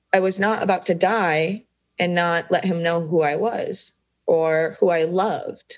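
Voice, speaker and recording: A woman speaks at a fairly slow pace and medium pitch. Her intonation is fairly even and her loudness very even. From US Midwest, Des Moines, Iowa. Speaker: photographer and cancer survivor. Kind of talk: interview testimony.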